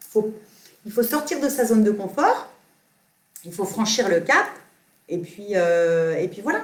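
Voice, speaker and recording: A woman speaks at a very slow pace with long, frequent pauses. Her intonation is lively. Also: medium pitch for a woman. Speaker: yoga teacher. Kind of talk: live Q&A stream. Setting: live video stream. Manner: not soft-spoken; halting, many fillers.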